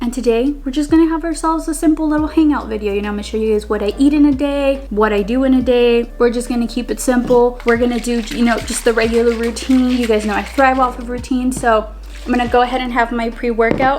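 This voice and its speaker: Against noticeable background noise, a woman with a high pitch talks at a very fast pace with hardly any pauses and fairly even intonation. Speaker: lifestyle vlogger. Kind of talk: casual vlog talk. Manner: casual, filler-heavy.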